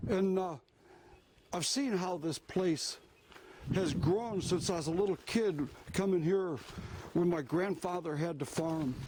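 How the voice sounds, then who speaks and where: Speaking with an American accent, a man with a high pitch and a dark, mellow tone talks at a fairly slow pace, with ordinary pitch variation and long, frequent pauses. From US, same local area all his life. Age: 60s. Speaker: outdoor vlogger, veteran. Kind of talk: walking vlog narration. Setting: outdoors, walking in woods. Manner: casual, halting with fillers.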